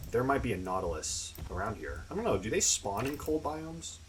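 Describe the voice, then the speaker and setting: The recording carries audible room echo and noticeable background noise. Through it, a man talks. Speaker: gaming youtuber. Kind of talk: gameplay commentary. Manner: mumbling; casual.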